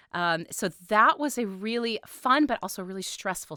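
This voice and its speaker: A woman speaks in a bright, sharp tone with very wide pitch swings. The recording is very clean and the background silent. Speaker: opera singer. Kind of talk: interview. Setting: radio studio. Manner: hesitant, many fillers.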